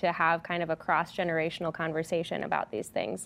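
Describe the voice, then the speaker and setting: Here is a woman talking. Her pace is very fast. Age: 20s. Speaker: church youth ministry director. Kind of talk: hosted panel discussion.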